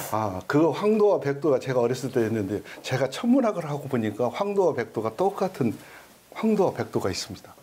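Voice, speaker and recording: With a dark, mellow tone, a man talks fairly quickly at a fairly high pitch, his voice swinging very widely up and down. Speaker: observatory director; guest. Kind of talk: casual interview chat. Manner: polite, formal. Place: meeting room. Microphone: lapel.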